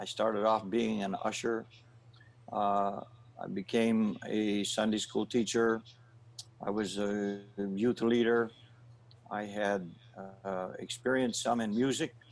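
At a very slow pace, a man with a Maritime Canadian accent speaks in a fairly low pitch with long, frequent pauses. His intonation is monotone and flat. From New Brunswick, Canada. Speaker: pastor. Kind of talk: interview testimony.

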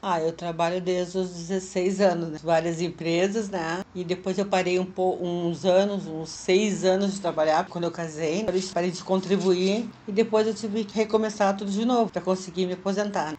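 A woman speaks with monotone, flat intonation and hardly any pauses. Noticeable background noise sits behind her. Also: medium pitch for a woman, moderate pace. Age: 60s. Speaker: retiree working as a freelancer. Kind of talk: interview testimony.

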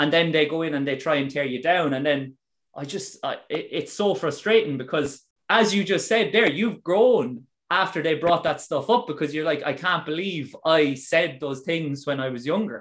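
A man speaks at a fairly high pitch in an Irish accent. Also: ordinary pitch variation, moderate pace. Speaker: podcast host. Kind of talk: casual interview chat. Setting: video call.

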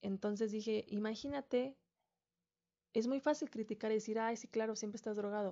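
Very fast speech from a woman with a fairly high pitch and ordinary pitch variation. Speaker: podcast host. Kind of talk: solo reflective monologue.

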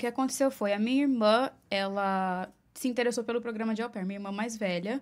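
With a Paulista accent, a woman speaks fairly quickly in a fairly high pitch and fairly even intonation on a very clean recording with a silent background. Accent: Paulista Brazilian Portuguese. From Brazil, Mogi das Cruzes (Greater São Paulo). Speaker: makeup artist. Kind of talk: casual interview.

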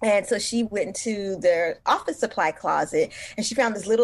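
Against a quiet background, a woman with an American accent uses a plain, everyday voice at a moderate pace with ordinary pitch variation. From US West Coast, East Oakland, California. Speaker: journalist and author. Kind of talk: interview conversation. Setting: studio.

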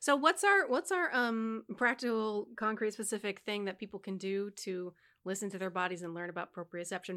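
At a moderate pace, a woman speaks quietly at a medium pitch with ordinary pitch variation. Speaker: podcast co-host, singer and choir conductor. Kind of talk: explanatory teaching about voice; casual chat. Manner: consciously modulates volume to talk quieter.

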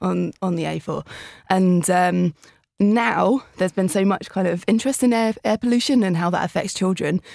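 In a very clean recording with a silent background and a dry, close sound with no echo, a woman speaks at medium pitch and a moderate pace with ordinary pitch variation. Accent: southern English. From southern England. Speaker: tech startup founder. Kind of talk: casual chat. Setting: studio.

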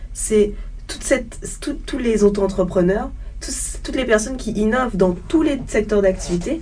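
Fairly slow speech with audible room echo and noticeable background noise. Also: woman. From Guadeloupe (Le Gosier). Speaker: student. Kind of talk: panel discussion.

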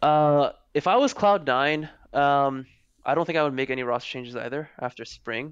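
Against a quiet background, a man with a plain, everyday voice talks at a moderate pace and a fairly high pitch, with ordinary pitch variation. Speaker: esports general manager. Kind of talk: casual chat. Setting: video call.

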